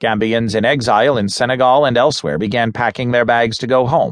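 Here a man speaks with an unremarkable speaking voice at medium pitch. His pace is moderate. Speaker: audiobook narrator. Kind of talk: news reading, scripted newspaper article read aloud. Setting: studio recording. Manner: formal, steady and measured; neutral, serious, even-toned delivery.

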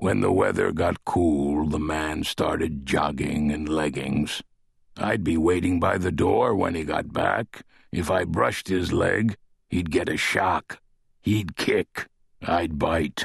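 A man speaks in a put-on character voice with a very deep, low pitch. His pace is fairly slow. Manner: proud, guarded, gruff.

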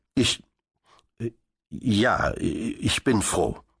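A raspy, put-on character voice from a man, pitched in the medium range. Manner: stammering, hesitant.

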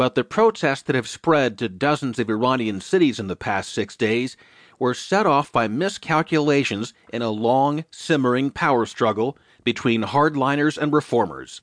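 A man with an ordinary speaking voice, medium pitch, lively intonation and a moderate pace, on a dry, close sound with no echo and a quiet background. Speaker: audiobook narrator. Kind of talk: news audiobook reading, scripted newspaper digest. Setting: studio. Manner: formal, steady, even newsreader delivery; clear, measured pace, neutral tone.

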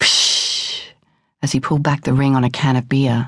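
A woman's somewhat breathy voice is heard against a quiet background. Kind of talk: audiobook narration, first-person memoir reading. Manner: measured, intimate, plain-spoken.

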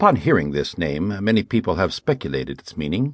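Vocal fry runs through this man's voice as his pitch swings very widely, and the sound is dry and close with no echo against a quiet background. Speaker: audiobook narrator. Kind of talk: audiobook narration, dramatic reading. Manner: dramatic, solemn, grave; shifts into character voices for dialogue.

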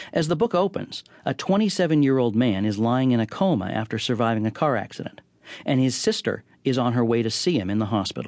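At a very fast pace, a man speaks with lively intonation at a medium pitch. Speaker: guest radio host and TV critic. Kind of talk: scripted radio introduction. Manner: formal, clear, polished.

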